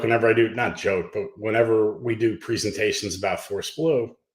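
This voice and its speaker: A Pennsylvania accent carries ordinary pitch variation at a moderate pace. The recording is very clean, with a silent background. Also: man. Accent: American (Pennsylvania). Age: 60s. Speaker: nonprofit co-founder. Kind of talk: podcast interview.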